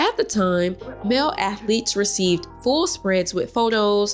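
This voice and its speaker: A woman's medium-pitched voice with an American accent, lively intonation and a moderate pace, over music in the background. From Southwest Georgia, US. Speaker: lifestyle and history blogger. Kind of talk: history narration.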